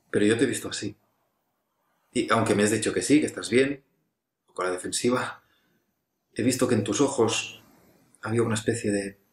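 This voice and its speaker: Somewhat breathy and fairly even in intonation, a man's voice carries audible room echo over a quiet background. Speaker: actor in a monologue. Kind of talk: intimate scripted monologue to an absent friend. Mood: reflective, earnest, slightly hesitant. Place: home room. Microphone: webcam.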